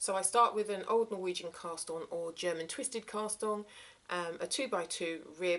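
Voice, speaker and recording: A woman with a southern English accent talks at a moderate pace in a medium pitch with ordinary pitch variation. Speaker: crafting vlogger. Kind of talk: casual show-and-tell vlog. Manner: hesitant, many fillers.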